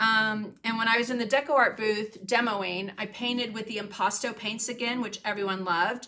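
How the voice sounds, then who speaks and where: A woman speaks with an American accent at a fairly high pitch. Her tone is bright and sharp. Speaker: craft painting teacher and livestreamer. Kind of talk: casual livestream chat with viewers. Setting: home studio livestream. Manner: casual, many fillers.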